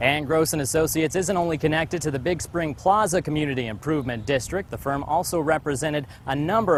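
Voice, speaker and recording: Speaking very fast, a man with a fairly high voice and ordinary pitch variation is heard over noticeable background noise. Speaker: television news reporter. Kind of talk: TV news package narration.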